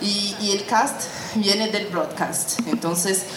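Audible room echo and noticeable background noise surround the voice of a woman. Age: 30s. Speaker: journalist and podcast workshop teacher. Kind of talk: workshop lecture.

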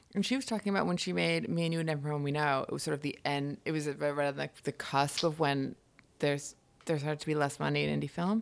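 Speaking very fast with a New York accent, the voice shows ordinary pitch variation on a very clean recording with a silent background. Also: woman, very deep, low pitch for a woman. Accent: American, New York area. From upstate New York, Hudson Valley. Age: 30s. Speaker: writer. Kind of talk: casual chat. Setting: home kitchen.

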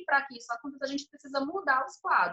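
This woman's voice sits at a fairly high pitch. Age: 30s. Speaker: city inspector and council pre-candidate. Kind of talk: podcast interview.

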